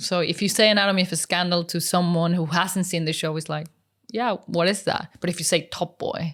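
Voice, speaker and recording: A woman with a Mexican accent speaks at a fairly quick pace and a fairly low pitch. Her intonation is fairly even, on a very clean recording with a silent background. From Mexico. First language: Spanish. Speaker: unit stills photographer. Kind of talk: interview.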